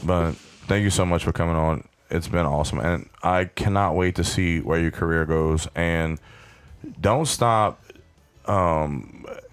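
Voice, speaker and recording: Music plays in the background. The speaker goes at a fairly slow pace with fairly even intonation. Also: man. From Louisiana bayou. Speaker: podcast host. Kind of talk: encouraging pep talk; casual chat. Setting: studio.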